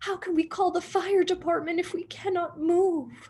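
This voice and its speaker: Putting on a character voice, a woman speaks at an extremely high pitch and a moderate pace with monotone, flat intonation. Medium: read story. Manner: warm, fussy, easily alarmed.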